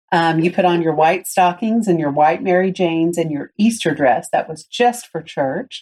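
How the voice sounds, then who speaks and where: Her Southern US accent comes through as a woman speaks at a fairly low pitch and moderate pace, with a dark, mellow tone. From US South, Tennessee. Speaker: podcast host. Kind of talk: casual chat.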